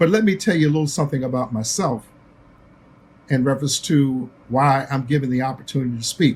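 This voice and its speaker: Somewhat breathy and fairly high in pitch, a man talks at a fairly quick pace broken by long, frequent pauses. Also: ordinary pitch variation. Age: 80s+. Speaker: basketball executive and broadcaster. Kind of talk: recorded tribute speech.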